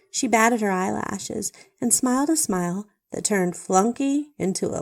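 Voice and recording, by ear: The speaker is reading aloud in a natural voice. The background stays quiet.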